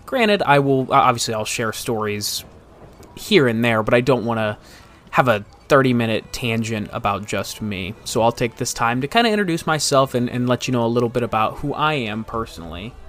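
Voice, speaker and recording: Speaking at a fairly quick pace in an American accent, a man keeps a medium pitch with ordinary pitch variation. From US Midwest, Northeast Ohio. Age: 20s. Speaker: podcast host. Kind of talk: casual podcast monologue. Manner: halting, frequent repetitions.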